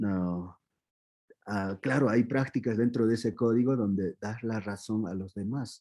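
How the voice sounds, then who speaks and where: Speaking at a moderate pace with an Andean accent, a man has a medium pitch and a dark, mellow tone. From Peru, Andean highlands (Q'ero community near Cusco). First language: Quechua (speaking Spanish). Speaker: spiritual teacher of Andean tradition. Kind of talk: interview. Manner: halting, many fillers and restarts.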